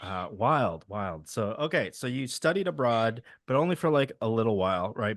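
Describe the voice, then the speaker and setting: A man speaks at a moderate pace with a Midwestern accent, his pitch medium for a man. His pitch swings very widely against a quiet background. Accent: Midwestern, shows in the a vowels. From Wisconsin, US (Milwaukee suburbs). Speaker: podcast host. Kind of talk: casual interview.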